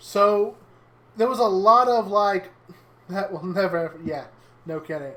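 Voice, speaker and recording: A woman's medium-pitched voice at a fairly slow pace, with ordinary pitch variation, big swings in loudness and long, frequent pauses. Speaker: streamer. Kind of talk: casual chat. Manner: louder on stream than off.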